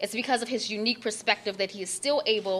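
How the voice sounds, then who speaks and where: A fairly high-pitched woman's voice with an American accent, a bright, sharp tone and ordinary pitch variation. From Baltimore, Maryland. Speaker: author. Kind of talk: reading aloud a foreword. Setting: library event with audience.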